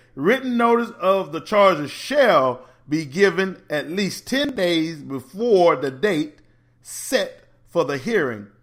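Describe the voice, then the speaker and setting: A man's high-pitched, animated voice with very wide pitch swings, over music in the background. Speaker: teachers union advocate. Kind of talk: educational talk on school law. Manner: fast.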